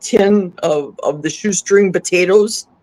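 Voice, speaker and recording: A woman with an American accent speaks fairly slowly in a plain, everyday voice at medium pitch. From US Midwest, Milwaukee. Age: 60s. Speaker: carnivore diet guest. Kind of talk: casual interview chat.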